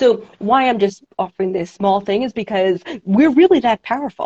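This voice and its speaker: With a New York accent, a woman speaks at a fairly quick pace and a fairly high pitch, her tone dark and mellow, the sound dry and close with no echo. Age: 40s. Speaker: women's empowerment coach and show host. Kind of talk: casual interview chat. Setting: video call, live stream. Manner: warm, chatty, animated.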